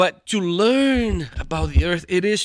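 A man with a Portuguese accent speaks at a very slow pace with lively intonation, in a dry, close sound with no echo. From Brazil, São Paulo. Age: 50s. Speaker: theology professor and pastor. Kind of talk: interview.

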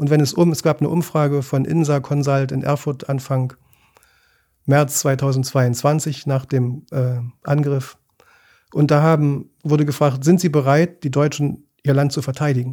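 This man's voice is fairly high-pitched with a dark, mellow tone, delivered at a fairly slow pace in a monotone, flat intonation on a very clean recording with a silent background. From East Germany. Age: 60s. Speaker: journalist and ship chaplain. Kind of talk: interview. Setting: studio.

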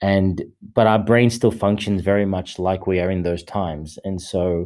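In an Australian accent, a man speaks at a fairly low pitch with a dark, mellow tone, fairly even intonation and a moderate pace, on a very clean recording with a silent background. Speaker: men's coach and meditation leader. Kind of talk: solo podcast monologue. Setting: studio. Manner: halting, many fillers and repetitions.

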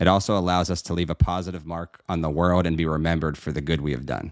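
A man with an American accent talks at a very fast pace in a very deep, low voice with fairly even intonation. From Pittsburgh, Pennsylvania. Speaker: estate planning lawyer. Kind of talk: casual chat.

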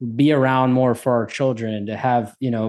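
Against a quiet background, a man with an American accent and an ordinary speaking voice talks at a moderate pace and medium pitch with ordinary pitch variation. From US Northeast, New Jersey. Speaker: podcast host. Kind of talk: interview.

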